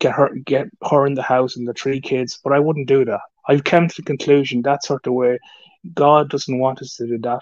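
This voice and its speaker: Fairly even intonation marks this moderately paced speech. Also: man, fairly high pitch for a man. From Ireland. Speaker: YouTuber. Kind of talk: live stream chat. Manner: halting.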